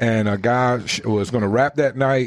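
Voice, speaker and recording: Here a man with an American accent talks at a moderate pace with ordinary pitch variation. His is an unremarkable speaking voice. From US South. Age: middle-aged. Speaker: radio host. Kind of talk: casual chat. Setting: studio.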